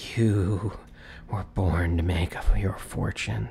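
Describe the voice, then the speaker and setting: A man uses a put-on character voice, raspy and very deep and low, at a fairly slow pace. Background noise is clearly heard. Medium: read story.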